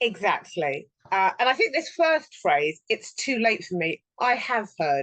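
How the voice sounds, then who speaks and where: A woman talks at a fairly slow pace in a fairly high voice with vocal fry. Her pitch swings very widely. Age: 60s. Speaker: personal development trainer. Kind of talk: casual chat.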